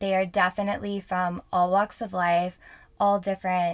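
On a very clean recording with a silent background, a woman with an American accent speaks at a moderate pace and a medium pitch. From Houston, Texas. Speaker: podcast host. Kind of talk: casual solo monologue. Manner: animated; frequent filler ums.

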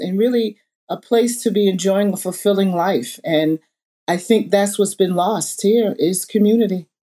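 A woman's dark, mellow tone with an American accent. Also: very clean recording, silent background. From Southampton, Long Island, New York. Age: 60s. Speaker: museum founder and community advocate. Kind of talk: panel discussion.

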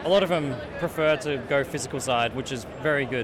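A man talks with a fairly high pitch and ordinary pitch variation. Noticeable noise sits in the background. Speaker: indie game developer. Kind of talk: interview. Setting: convention show floor.

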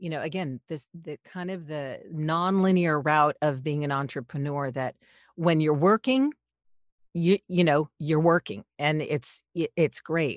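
Speaking at a fairly slow pace with an American accent, a woman with a very deep, low voice and ordinary pitch variation shows big swings in loudness on a dry, close recording with no echo. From Los Angeles, US. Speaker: podcast producer and voiceover artist. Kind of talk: interview conversation.

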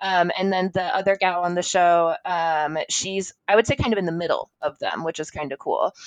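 A woman talks in a normal speaking voice at a moderate pace, with hardly any pauses. Her intonation is fairly even, and the sound is dry and close with no echo. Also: medium pitch for a woman. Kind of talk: casual interview chat.

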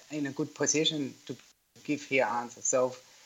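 A man speaks with vocal fry at a moderate pace. His intonation is monotone and flat. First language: German. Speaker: yarn manufacturer. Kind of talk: interview. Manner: halting.

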